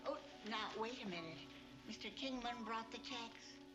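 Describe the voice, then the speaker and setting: Over loud background noise, a female-sounding put-on character voice speaks at a moderate pace in a fairly high pitch. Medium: short film. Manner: frank, gently teasing.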